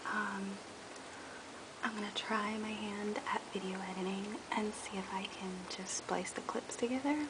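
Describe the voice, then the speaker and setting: Soft-spoken delivery broken by long, frequent pauses, with noticeable background noise behind it. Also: moderate pace. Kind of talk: tutorial talk to camera.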